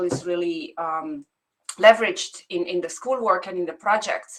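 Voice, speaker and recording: A woman speaks at a moderate pace with a non-native accent and ordinary pitch variation. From immigrant, outside English-speaking world. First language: not English. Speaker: academic researcher. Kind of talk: panel discussion question. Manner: halting, many repetitions.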